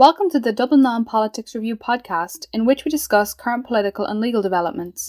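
This woman talks at a very fast pace, her fairly high pitch carried by lively intonation. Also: dry, close sound with no echo. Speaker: podcast host. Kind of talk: podcast interview, formal.

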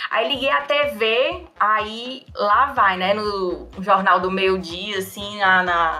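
Over noticeable background noise, a woman speaks at a very slow pace with hardly any pauses. Her medium pitch shows ordinary variation. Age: 30s. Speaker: anthropologist. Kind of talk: casual storytelling chat.

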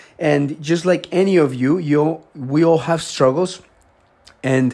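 This is a very clean recording with a silent background. A man with a Spanish accent talks at a fairly high pitch, with ordinary pitch variation. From Colombia. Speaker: health podcaster. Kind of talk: solo talk. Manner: conversational, filler-heavy.

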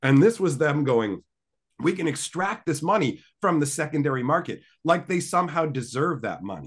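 A man speaks with lively intonation and vocal fry against a quiet background. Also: fairly high pitch for a man, moderate pace. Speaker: podcast guest. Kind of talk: casual chat. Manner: joking, banter.

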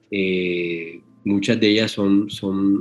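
A man is speaking here. His voice is fairly low, with fairly even intonation. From Colombia, Caribbean coast (Magdalena). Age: 40s. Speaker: anesthesiologist, sedation specialist. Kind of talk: interview. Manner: halting, many repetitions and fillers.

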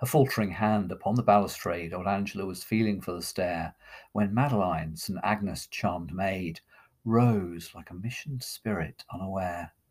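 Recorded very cleanly against a silent background, a man with an ordinary speaking voice talks at a fairly low pitch and moderate pace, with ordinary pitch variation and big swings in loudness. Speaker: poetry reader and podcast host. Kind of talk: poem performed: dramatic reading aloud of a narrative poem, voicing characters.

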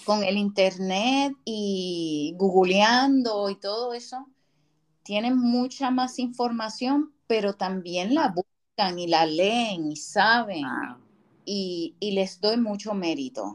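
A woman speaks very slowly at a medium pitch. Her intonation is lively. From Puerto Rico. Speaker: podcast co-host. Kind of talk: casual chat.

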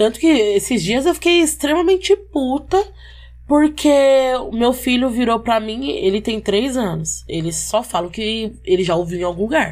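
A woman talks at a moderate speed, her fairly high pitch swinging very widely. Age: 20s. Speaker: social media worker and braider. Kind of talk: casual chat.

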